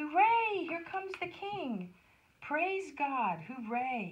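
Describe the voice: A woman's put-on character voice, high in pitch with big pitch swings, at a very slow pace, with audible room echo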